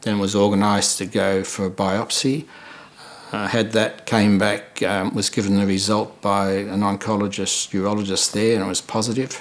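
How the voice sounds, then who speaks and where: A man with a fairly low voice speaks at a moderate pace in a flat monotone over noticeable background noise. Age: 70s. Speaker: prostate cancer survivor. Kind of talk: testimony. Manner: halting.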